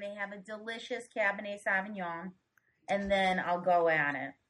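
Speaking in a Boston accent, a woman with a medium-pitched voice talks at a moderate pace. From Revere, Massachusetts (Boston area). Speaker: podcaster. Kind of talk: casual chat.

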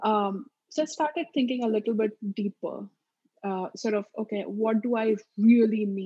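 A woman speaks in an Indian accent at a fairly high pitch. Her voice is somewhat breathy, with ordinary pitch variation. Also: moderate pace. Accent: Marathi-accented Indian English. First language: Marathi. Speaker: mental health therapist. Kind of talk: interview.

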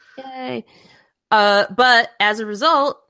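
In a very clean recording with a silent background, a woman uses a raised, projected voice with a bright, sharp tone at a very slow pace. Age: 30s. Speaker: podcast co-host. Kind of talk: casual chat.

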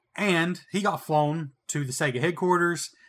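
On a very clean recording with a silent background, a man speaks with a Southern accent. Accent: Southern, noticeable on playback. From US South. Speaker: retro video game podcast co-host. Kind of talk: casual chat.

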